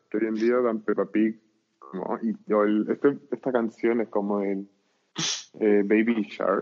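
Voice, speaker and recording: A man with a fairly low pitch speaks in a monotone, flat intonation at a fairly slow pace, with long, frequent pauses. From Chile, Arica. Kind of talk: casual chat.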